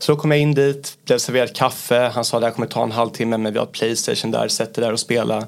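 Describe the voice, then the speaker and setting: A man at a medium pitch, very fast, with fairly even intonation and hardly any pauses. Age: 30s. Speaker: business area manager. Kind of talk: interview.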